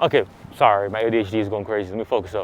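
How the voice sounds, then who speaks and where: A man talks at a fairly quick pace while noticeable background noise plays behind him. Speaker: e-bike vlogger. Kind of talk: casual ride vlog commentary. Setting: outdoors riding e-bike at night. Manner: fast; mumbling. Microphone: muffled by gaiter mask.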